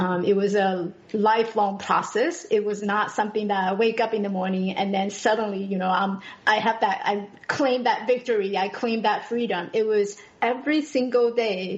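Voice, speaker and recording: A woman with a Taiwanese accent at a moderate pace, fairly even intonation, and noticeable background noise. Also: fairly high pitch for a woman. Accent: Taiwanese Mandarin-accented English. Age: 40s. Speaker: podcast guest. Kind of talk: personal testimony in interview. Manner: halting, many fillers and restarts.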